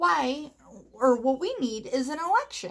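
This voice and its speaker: A woman puts on a character voice, pitched high. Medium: read story.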